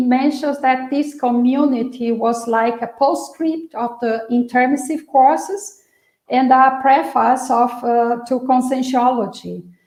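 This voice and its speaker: A woman with a high pitch and a dark, mellow tone speaks at a fairly slow pace with ordinary pitch variation, and room echo is audible. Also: hardly any pauses. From Brazil. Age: 60s. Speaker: researcher presenting a topic. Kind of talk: online lecture presentation. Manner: halting, many fillers.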